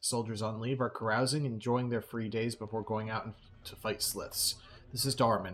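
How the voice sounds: The intonation holds fairly even. It comes across as a natural reading voice.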